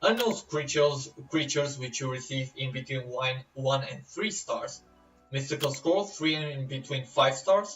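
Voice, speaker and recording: With a non-native accent, a man speaks at a fairly slow pace. His pitch is fairly high, with ordinary variation. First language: not English. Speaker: gaming YouTuber. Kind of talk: game tutorial. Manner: casual, hesitant with fillers.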